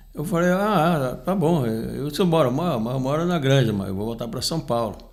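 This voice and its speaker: Lively in intonation, a man with a fairly high pitch speaks at a moderate pace amid audible room echo. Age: 70s. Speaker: union leader and podcast commentator. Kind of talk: casual chat. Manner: halting, with frequent repetitions.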